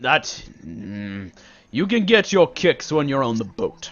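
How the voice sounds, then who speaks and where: Putting on a character voice, a man speaks fairly slowly at medium pitch. His pitch swings very widely and his loudness swings a lot. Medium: actual play. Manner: curt, dismissive.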